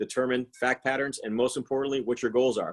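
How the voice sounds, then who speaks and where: Very fast male speech at a medium pitch. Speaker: financial and tax planning advisor. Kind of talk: webinar presentation.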